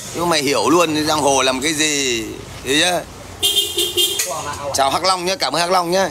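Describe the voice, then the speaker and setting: A man talking at a fairly slow pace amid noticeable background noise. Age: 40s. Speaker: livestreamer. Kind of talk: livestream chat and heated rant at viewers. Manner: confrontational, loud. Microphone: phone near.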